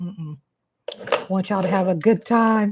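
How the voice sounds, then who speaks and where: At a moderate pace, a voice with a dark, mellow tone speaks in a Texas accent. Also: woman. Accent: Southern US, Texas. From Kansas City, Missouri. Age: 50s. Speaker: live-stream host. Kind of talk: casual live-stream chat. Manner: animated.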